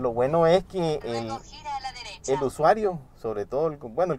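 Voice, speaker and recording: The recording has a dry sound with no echo and light background noise. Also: man. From Nicaragua. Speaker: app-based taxi driver. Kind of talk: interview testimony. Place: car.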